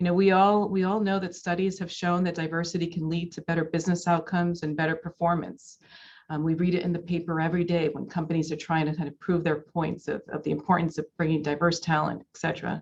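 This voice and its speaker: A woman's fairly low-pitched voice, very fast, with monotone, flat intonation. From US, daughter of Dominican immigrants. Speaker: corporate executive. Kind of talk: keynote speech. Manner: many filler words (um, uh, you know).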